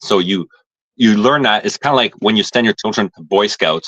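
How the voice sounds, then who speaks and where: Fairly quick, a man with a fairly low voice and a bright, sharp tone speaks with ordinary pitch variation. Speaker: bushcraft and homesteading guest. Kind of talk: casual interview chat. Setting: video call from phone, camera off. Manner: fast. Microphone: choppy robotic connection.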